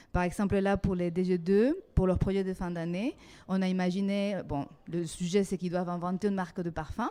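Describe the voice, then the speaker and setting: Fairly even intonation from a woman with a non-native accent, at a moderate pace with music in the background. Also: medium pitch for a woman. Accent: foreign accent in French. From Mexico. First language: Spanish (speaking French). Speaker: design teacher and coordinator. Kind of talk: interview. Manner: hesitant, many fillers.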